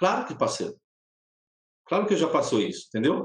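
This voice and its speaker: This man talks at a fairly quick pace. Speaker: pastor. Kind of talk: casual chat.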